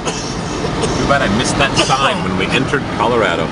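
A fairly quick pace, loud background noise, and dry sound with no echo. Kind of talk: casual vlog chat. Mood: relaxed, jokey. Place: car. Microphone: phone near.

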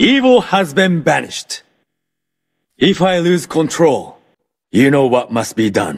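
The pitch swings widely in this put-on character voice, delivered at a slow pace. The recording is very clean, with a silent background. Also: man, fairly high pitch for a man.

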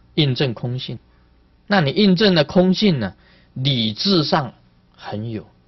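A man's somewhat breathy voice at a very slow pace, over a quiet background. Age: old. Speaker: Buddhist master giving sutra teaching; Buddhist teacher. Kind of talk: dharma lecture. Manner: animated. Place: hall.

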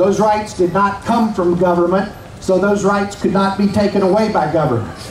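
Someone with an American accent talks at a moderate pace with very even loudness and fairly even intonation. Audible room echo and light background noise are present. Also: man, high pitch for a man. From Virginia, US. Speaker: rally speaker. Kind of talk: rally speech. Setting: outdoor rally with crowd. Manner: formal, rhetorical. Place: street.

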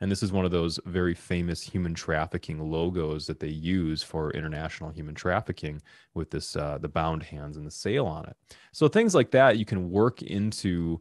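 A man's very deep, low voice at a moderate pace, with ordinary pitch variation and big swings in loudness, dry with no echo, over a quiet background. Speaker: workshop host. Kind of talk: tutorial. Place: studio. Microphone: studio mic.

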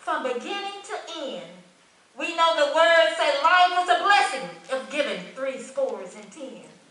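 The voice is raised and projected, with a bright, sharp tone. It moves at a moderate pace over audible room echo. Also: woman. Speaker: church member giving tribute. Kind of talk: reading aloud a tribute poem.

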